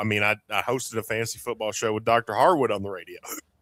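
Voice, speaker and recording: On a very clean recording with a silent background and a dry, close sound with no echo, a man with an Appalachian accent has a bright, sharp tone. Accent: Appalachian Southern US. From Eastern Kentucky. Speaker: podcast host, former radio host. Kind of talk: casual chat.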